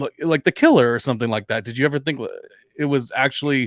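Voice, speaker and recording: In a very clean recording with a silent background and a dry, close sound with no echo, a man with a plain, everyday voice and medium pitch talks at a fairly quick pace. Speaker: podcast host. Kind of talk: podcast conversation.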